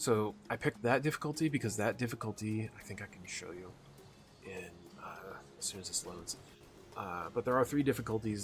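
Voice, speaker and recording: A somewhat breathy, fairly low-pitched male voice at a fairly quick pace, with ordinary pitch variation. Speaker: gaming YouTuber. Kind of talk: live gameplay commentary. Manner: stuttering, unscripted; casual, halting.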